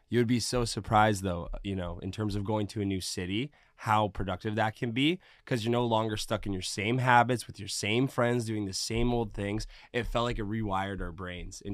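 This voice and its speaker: This man has an unremarkable speaking voice, fairly low in pitch, with fairly even intonation at a fairly quick pace. The recording is very clean, with a silent background. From Canada, Mississauga, Ontario. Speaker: DJ and music producer. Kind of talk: casual interview.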